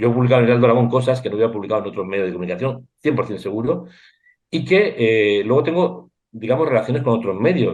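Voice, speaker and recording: A man's medium-pitched voice rushes along very fast with lively intonation. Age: 60s. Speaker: war reporter and photographer. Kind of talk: interview. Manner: animated.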